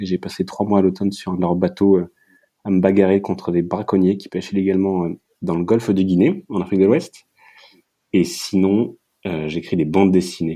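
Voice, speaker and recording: Long, frequent pauses break up a moderate pace, with fairly even intonation and a dark, mellow tone. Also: man, very deep, low pitch for a man. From Paris region, France. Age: 30s. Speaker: ocean activist and comic writer. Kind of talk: interview conversation. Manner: hesitant with fillers.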